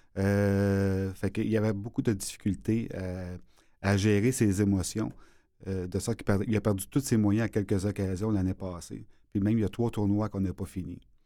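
The recording is very clean, the background silent. A dark, mellow voice moves at a moderate pace with fairly even intonation. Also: man, fairly low pitch for a man. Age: 50s. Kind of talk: interview. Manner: halting.

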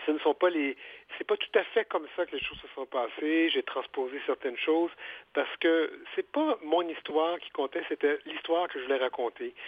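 In a normal speaking voice, a man with a fairly high pitch talks at a moderate pace with ordinary pitch variation and big swings in loudness. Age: 50s. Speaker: author and journalist. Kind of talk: interview.

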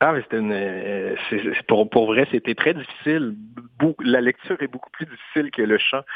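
Delivered at a middling speed, the pitch rises and falls in a typical manner. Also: man, medium pitch for a man. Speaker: singer-songwriter and poet. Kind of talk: interview. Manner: halting.

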